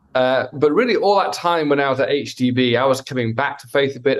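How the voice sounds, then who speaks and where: With a British accent, a man talks at a moderate pace with a medium pitch and ordinary pitch variation. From Wales. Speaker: pastor. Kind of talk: interview. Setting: video call.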